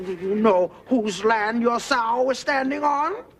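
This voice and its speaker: Fairly slow delivery in a fairly high, put-on character voice. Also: female-sounding voice. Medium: short film. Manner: dry, sly.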